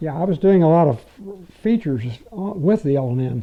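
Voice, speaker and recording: At a moderate pace, a man speaks in a somewhat breathy voice. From Louisville, Kentucky. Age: 80s+. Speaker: retired railroad public relations writer. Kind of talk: interview answer.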